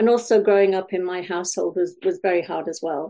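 A woman with a Welsh accent, fairly low in pitch, dark and mellow in tone, fairly even in intonation, at a fairly quick pace. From Wales. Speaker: life coach. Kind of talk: interview.

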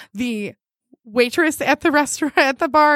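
The delivery is animated, at a moderate pace with ordinary pitch variation, and the sound is dry and close with no echo. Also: woman. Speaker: podcast co-host. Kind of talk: casual chat. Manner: animated, laughing often.

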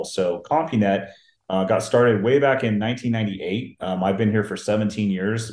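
A man with an American accent talks at a fairly quick pace in a fairly low pitch. His pitch varies in an ordinary way, and the room echo is audible. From US Pacific Northwest, Seattle. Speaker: IT business development and engineering lead. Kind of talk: casual interview.

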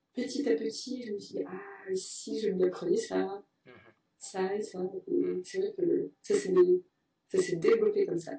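A woman at a very slow pace with big swings in loudness. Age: 20s. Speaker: French teacher. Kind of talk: interview. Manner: halting.

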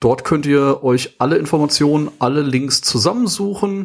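The pace is very slow. The intonation is lively. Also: man. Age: 30s. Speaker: podcast host, sales professional. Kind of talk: casual chat.

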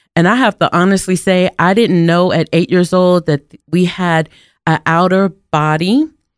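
A woman with an unremarkable speaking voice, fairly low pitch, fairly even intonation and very even loudness at a moderate pace, on a very clean recording with a silent background, dry and close with no echo. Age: 40s. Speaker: minister and preacher. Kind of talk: personal testimony monologue.

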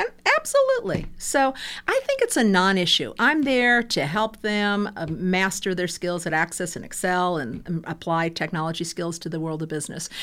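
This woman has a plain, everyday voice at medium pitch, speaking at a moderate pace with lively intonation. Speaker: university lecturer. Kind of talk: casual interview.

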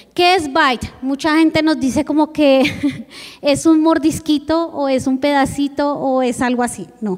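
Speaking fairly slowly, the woman has a high voice. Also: ordinary pitch variation. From Colombia, Bogotá. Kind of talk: church presentation.

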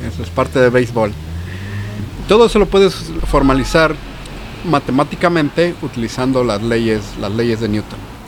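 Amid noticeable background noise, a man with a Mexican accent speaks at medium pitch with lively intonation and long, frequent pauses. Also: moderate pace. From Mexico City. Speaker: physicist and cancer researcher. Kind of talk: casual chat. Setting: pub.

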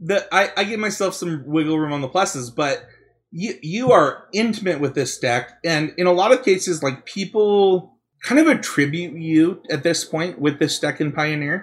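A man with a high pitch talks at a moderate pace. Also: ordinary pitch variation. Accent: Utah. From Utah. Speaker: podcast host. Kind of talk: casual chat.

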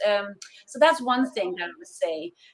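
This woman speaks at a fairly high pitch with a Danish accent. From Denmark. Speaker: consultant for international remote teams. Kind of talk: interview.

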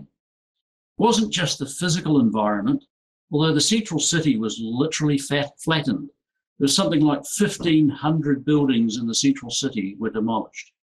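In a New Zealand accent, a man with a fairly high pitch speaks at a moderate pace with lively intonation. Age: 50s. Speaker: entrepreneur and business coach. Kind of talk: conference presentation.

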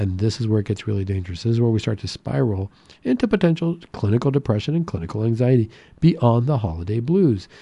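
Upbeat and lively in intonation, a man speaks very fast at a medium pitch with a dark, mellow, somewhat breathy tone against a quiet background. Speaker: radio host and psychiatrist. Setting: radio studio. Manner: friendly, upbeat, conversational with filler words and seasonal cheer.

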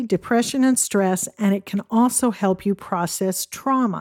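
A woman with a plain, everyday voice speaks at a moderate pace with ordinary pitch variation. The recording is very clean with a silent background and a dry, close sound without echo. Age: 60s. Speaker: podcast host. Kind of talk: solo podcast monologue.

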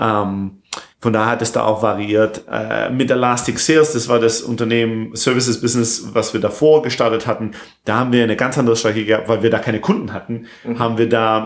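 The pace is fairly quick. A man delivers it all in a monotone, flat intonation. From southern Germany, near Stuttgart. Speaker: software entrepreneur. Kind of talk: interview. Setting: recording in Barcelona. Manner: halting, many fillers; mixes English words into German.

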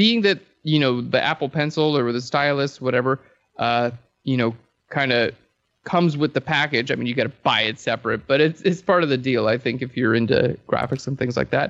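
With a normal speaking voice, a man keeps to a moderate pace at medium pitch, varying it in an ordinary way. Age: 30s. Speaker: photography educator. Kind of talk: casual interview.

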